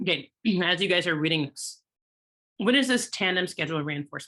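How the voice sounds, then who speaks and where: A woman's very fast voice, bright and sharp in tone, with ordinary pitch variation. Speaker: exam prep tutor. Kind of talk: webinar lecture. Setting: online webinar.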